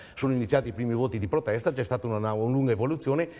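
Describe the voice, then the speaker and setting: Dark, mellow male voice at medium pitch, delivered at a very fast pace. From Veneto, Italy. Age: 60s. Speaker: regional political activist. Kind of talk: TV talk show discussion.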